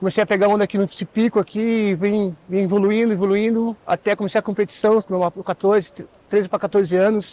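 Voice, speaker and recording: A man speaks fairly quickly at a high pitch with a dark, mellow tone. His intonation is monotone and flat, his loudness very even, and the sound is dry and close with no echo. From Matinhos, Paraná, Brazil. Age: 40s. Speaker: surfer. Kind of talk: interview testimony.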